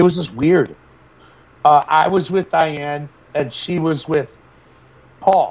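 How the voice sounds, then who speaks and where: A man talks at a very slow pace with long, frequent pauses. His pitch is fairly high, with ordinary variation. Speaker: former boarding school student. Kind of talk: interview testimony.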